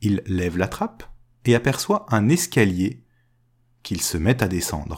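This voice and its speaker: Somewhat breathy and fairly low-pitched, a man speaks fairly slowly with long, frequent pauses and very wide pitch swings. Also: very clean recording, silent background. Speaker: podcast storyteller. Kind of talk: fairy-tale narration, told aloud. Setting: recorded podcast episode.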